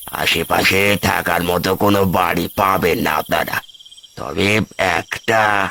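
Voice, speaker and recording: A man's raspy, cartoonish character voice, fairly low in pitch, very slow, with fairly even intonation and very even loudness. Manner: halting, cryptic.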